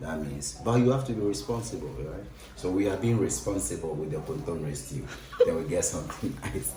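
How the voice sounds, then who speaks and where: In a Ghanaian accent, someone speaks at a fairly quick pace with very wide pitch swings, with audible room echo and noticeable background noise. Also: man. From Ghana, Accra. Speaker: cook. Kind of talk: cooking demonstration. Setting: kitchen.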